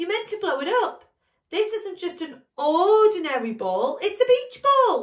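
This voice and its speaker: A woman's put-on, squeaky character voice at an extremely high pitch, with very wide pitch swings and a moderate pace. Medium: read story.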